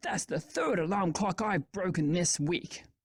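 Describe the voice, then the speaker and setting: A raspy, put-on character voice at a middle pitch speaks at a moderate pace. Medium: read story. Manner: cheerful.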